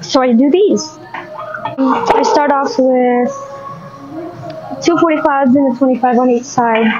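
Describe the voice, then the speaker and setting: Faint music plays behind a woman speaking at a high pitch and fairly slow pace, with ordinary pitch variation. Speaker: fitness vlogger. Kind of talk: casual vlog chat. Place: gym. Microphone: lapel.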